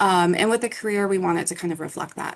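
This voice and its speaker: The speaker is a woman with a normal speaking voice. Her pitch sits at a medium level. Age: 20s. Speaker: academic advisor. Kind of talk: workshop presentation. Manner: casual.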